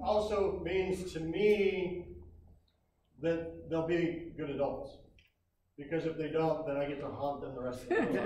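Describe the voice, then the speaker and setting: A man with an American accent speaks loudly at a high pitch with ordinary pitch variation. He goes at a fairly slow pace with long, frequent pauses, and audible room echo surrounds his voice. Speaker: scoutmaster. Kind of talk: ceremony speech. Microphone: speaking without microphone.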